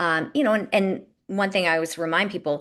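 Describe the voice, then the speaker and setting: Against a quiet background, a woman with a General American accent talks at a fairly quick pace and medium pitch with ordinary pitch variation. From US West Coast (San Diego). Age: 50s. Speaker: health consultant. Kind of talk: interview conversation. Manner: fast.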